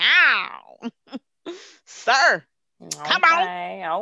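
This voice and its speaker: A put-on character voice, female-sounding and fairly high in pitch, with very wide pitch swings. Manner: swaggering, casual.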